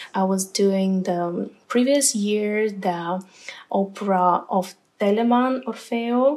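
Very slowly and at very even loudness, a woman with a Ukrainian accent speaks at medium pitch with ordinary pitch variation. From Ukraine. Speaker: opera singer. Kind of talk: interview.

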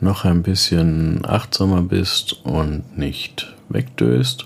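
A man speaks very slowly in a very deep, low voice, with a calm, gentle tone and lively intonation. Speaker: meditation coach. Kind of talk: guided meditation. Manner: slow, calm, soft-spoken; gentle, soothing, with long pauses.

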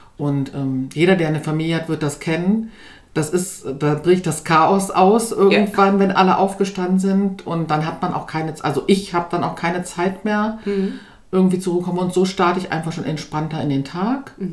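Fairly low-pitched woman's voice at a moderate pace, with ordinary pitch variation and audible room echo. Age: 40s. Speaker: former course participant, mother, NGO worker. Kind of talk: interview. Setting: in person, sitting together over tea.

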